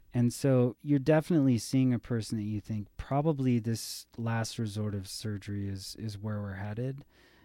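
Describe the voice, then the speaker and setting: A man's dark, mellow, medium-pitched voice at a moderate pace, with ordinary pitch variation, hardly any pauses, and a very clean recording with a silent background. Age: 30s. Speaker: physician. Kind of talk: casual chat.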